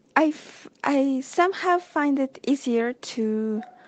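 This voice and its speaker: Speaking in a Spanish accent, a woman has a high-pitched voice. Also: quiet background. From Mexico. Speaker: friend guest. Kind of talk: voice message chat. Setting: voice message. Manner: halting.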